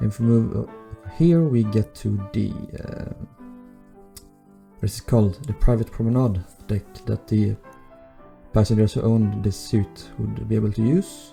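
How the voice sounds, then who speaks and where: A man's fairly low voice at a moderate pace, broken by long, frequent pauses, with music in the background. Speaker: Minecraft builder. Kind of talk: game walkthrough commentary.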